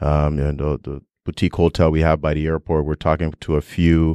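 A man speaks at a very deep, low pitch in a monotone, flat delivery, recorded with a dry, close sound with no echo. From Toronto, Canada (Nigerian-born). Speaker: real estate entrepreneur and investor. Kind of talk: interview. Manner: halting, many fillers.

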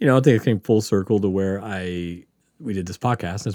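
At a fairly quick pace, a man with a Southern US accent speaks in a fairly low, dark, mellow tone with ordinary pitch variation, on a very clean recording with a silent background. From Mississippi Gulf Coast, US South. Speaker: podcast host and nurse. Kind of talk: casual podcast chat, Q&A. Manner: rambling, filler-heavy, laughs often.

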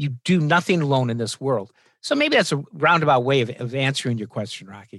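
On a very clean recording with a silent background, a man in a normal speaking voice talks at a moderate pace with lively intonation and fairly high pitch. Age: 60s. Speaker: law professor. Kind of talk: interview.

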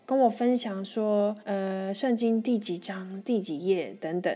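Her tone is animated, a woman speaking at a fairly high pitch with ordinary pitch variation. The recording is very clean, with a silent background. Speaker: travel podcast host. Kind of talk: casual solo travel storytelling. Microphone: new microphone, first day using it.

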